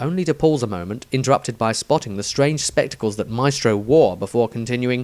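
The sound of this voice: Reading in an unforced voice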